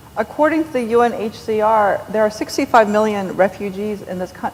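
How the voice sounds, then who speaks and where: A woman talks at a fairly high pitch while noticeable background noise carries on behind her. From New York. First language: Korean. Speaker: novelist. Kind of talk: onstage interview. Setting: stage with audience. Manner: animated.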